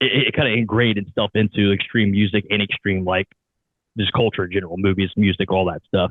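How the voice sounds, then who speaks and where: Here is a man with an Ohio accent and a fairly low pitch. He talks at a fairly quick pace. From US Midwest, southern Ohio. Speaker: podcast host. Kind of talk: interview. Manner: animated.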